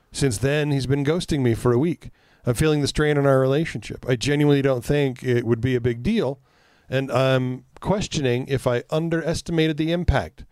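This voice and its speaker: A man talks at a fairly quick pace with a fairly high pitch. His loudness stays very even, and his pitch variation is ordinary. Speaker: podcast host. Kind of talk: casual chat. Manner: loud when serious.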